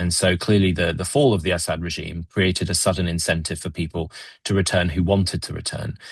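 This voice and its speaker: Somewhat breathy and at a fairly quick pace, the speech comes in a British accent over a quiet background. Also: man. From Britain. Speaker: Middle East policy analyst. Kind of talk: webinar discussion. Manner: halting, many fillers and repetitions.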